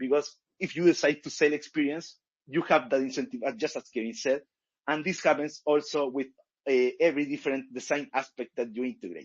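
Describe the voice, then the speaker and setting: His pitch is fairly high for a man, with ordinary variation. He talks at a fairly quick pace. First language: not English. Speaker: game company founder. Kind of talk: panel discussion. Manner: halting.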